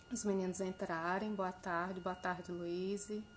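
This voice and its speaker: Soft-spoken and somewhat breathy, a woman talks very slowly at medium pitch with monotone, flat intonation. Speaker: live stream host. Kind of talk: casual chat.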